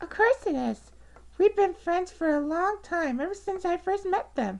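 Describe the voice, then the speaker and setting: A squeaky, put-on character voice at a moderate pace. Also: woman, extremely high pitch for a woman. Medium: solo performance. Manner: earnest, a little nervous.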